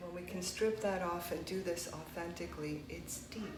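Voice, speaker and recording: A woman speaks at a moderate pace and fairly low pitch. Noticeable background noise and audible room echo come through. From United States, child of immigrants. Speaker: meditation teacher. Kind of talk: conversational discussion.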